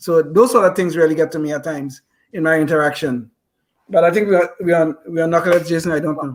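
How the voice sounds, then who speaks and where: This man speaks at a very fast pace with a high pitch. His intonation stays fairly even. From foreign-born immigrant. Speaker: podcast co-host. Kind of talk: interview discussion.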